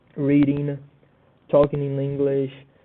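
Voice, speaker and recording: Using a fairly high pitch, a man with a Portuguese accent speaks at a fairly slow pace. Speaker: student. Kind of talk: class presentation. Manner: halting.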